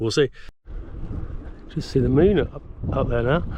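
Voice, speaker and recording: A man talks with a British accent and ordinary pitch variation. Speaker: bikepacking vlogger. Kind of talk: casual vlog narration. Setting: outdoors, cycling on the road.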